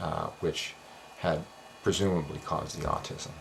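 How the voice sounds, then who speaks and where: Moderate pace from a man's voice. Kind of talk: explainer monologue. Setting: home office at night. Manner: soft-spoken; hesitant fillers.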